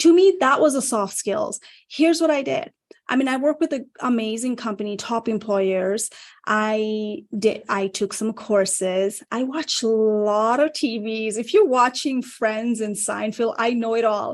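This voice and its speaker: Speaking with a Nepali accent, a woman uses a fairly high pitch and an animated tone at a fairly slow pace against a quiet background. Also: ordinary pitch variation. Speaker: career coach. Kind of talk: panel talk show discussion.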